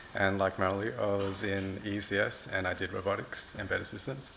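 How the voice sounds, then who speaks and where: Noticeable background noise sits behind a man speaking with an Australian accent at a fairly low pitch. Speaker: product manager, program alumnus. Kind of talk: panel discussion.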